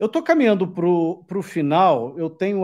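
With a quiet background, an ordinary speaking voice shows ordinary pitch variation at a moderate pace. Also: man. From Brazil. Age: 40s. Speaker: YouTube host. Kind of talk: live interview. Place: home room. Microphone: studio mic.

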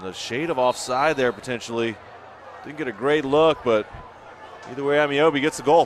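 With noticeable background noise behind him, a man talks very fast at a medium pitch with ordinary pitch variation. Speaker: color commentator. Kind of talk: live sports commentary. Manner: animated, fast.

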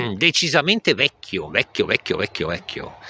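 A man is speaking. The sound is dry, with no echo. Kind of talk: casual vlog commentary. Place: forest. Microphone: phone near.

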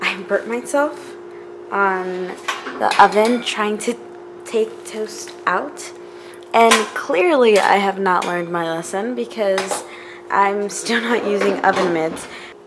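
Pausing long and often, a woman speaks at a very slow pace over noticeable background noise. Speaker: vlogger. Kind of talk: casual vlog chat. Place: kitchen. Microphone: phone near.

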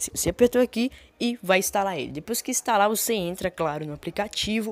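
On a very clean recording with a silent background, a woman speaks at a fairly quick pace with ordinary pitch variation. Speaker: gaming youtuber. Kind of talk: tutorial. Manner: fast.

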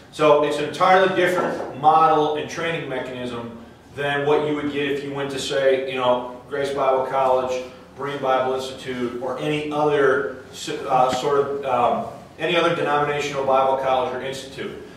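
A fairly high-pitched man at a moderate pace with fairly even intonation, strong room echo and light background noise. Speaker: Bible teacher. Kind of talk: lecture. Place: church.

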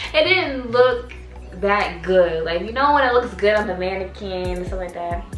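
A woman is heard with audible room echo. Light background noise runs underneath. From Canada. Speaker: fashion YouTuber. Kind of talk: casual talk to camera. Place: home room. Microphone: camera far.

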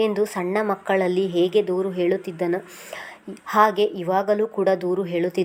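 Reading aloud in a natural voice

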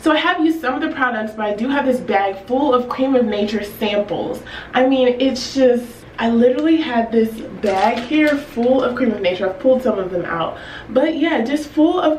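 Over light background noise and audible room echo, a woman with a high pitch speaks at a moderate pace. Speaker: hair care vlogger. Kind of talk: casual vlog chat. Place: home room.

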